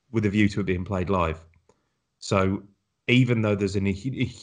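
The speaker is a man with a British accent. His background is quiet. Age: 30s. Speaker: podcast host. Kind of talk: casual chat.

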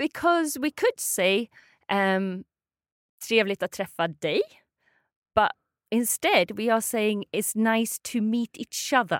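In a Swedish accent, a woman speaks at a very slow pace with long, frequent pauses and lively intonation, recorded very cleanly against a silent background with a dry, close sound and no echo. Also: fairly high pitch for a woman. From Sweden. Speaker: language teacher. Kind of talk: language lesson.

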